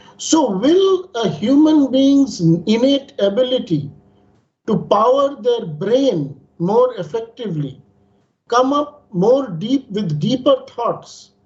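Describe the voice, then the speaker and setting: A man speaks very slowly with a Bengali accent. His pitch is extremely high and swings very widely. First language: Bangla. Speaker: panelist. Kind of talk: panel discussion. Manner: formal.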